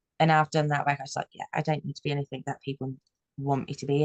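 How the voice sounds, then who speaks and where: A woman's very deep, low voice in a Brummie accent, with a dry, close sound and no echo. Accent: Birmingham (Brummie). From Birmingham, England. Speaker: business coach. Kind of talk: panel discussion. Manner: fast-talking.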